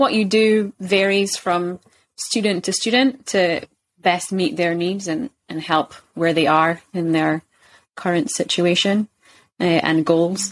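Speaking at a very slow pace and medium pitch, a woman with a Scottish accent is heard in a very clean recording with a silent background and a dry, close sound with no echo. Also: ordinary pitch variation. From Scotland, Kirkcaldy (Fife). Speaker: English teacher. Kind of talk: casual interview.

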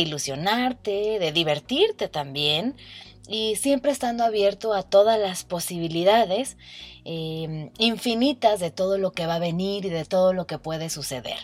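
On a very clean recording with a silent background, a woman talks at a fairly slow pace and medium pitch with lively intonation. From Mexico, Guadalajara, Jalisco. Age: 20s. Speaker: podcast host, meditation guide. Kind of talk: casual personal monologue.

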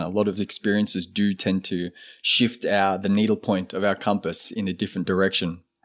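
A man speaks with an Australian accent at a fairly low pitch and a moderate pace. The recording is very clean, with a silent background. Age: 30s. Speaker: shaman and ceremonialist. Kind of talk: casual interview conversation.

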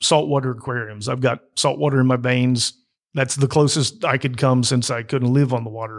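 A man speaks in a plain, everyday voice at medium pitch and a fairly quick pace. The recording is very clean, with a silent background. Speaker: interviewer. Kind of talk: casual interview.

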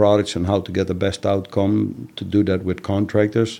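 A man speaks in a Dutch accent with a dark, mellow tone. His intonation is flat and monotone, and the background is quiet. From Netherlands. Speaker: master painter and finishing trainer. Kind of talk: interview.

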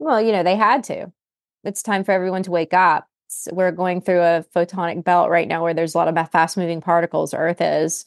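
Against a quiet background, a woman with an American accent speaks in a plain, everyday voice at a fairly quick pace, fairly low in pitch with fairly even intonation and a dry, close sound with no echo. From West Virginia. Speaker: medical doctor. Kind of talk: casual chat.

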